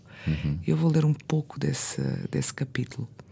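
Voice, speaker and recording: There is noticeable background noise in this clip. Through it, a woman talks. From Azores (São Miguel / Pico). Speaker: novelist. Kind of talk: casual interview. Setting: radio studio.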